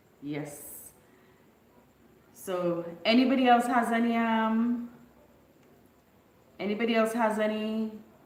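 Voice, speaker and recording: Fairly slow speech with long, frequent pauses, audible room echo and noticeable background noise. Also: woman, fairly high pitch for a woman, ordinary pitch variation. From Bequia, St Vincent and the Grenadines. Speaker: YouTuber. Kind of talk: casual live stream chat.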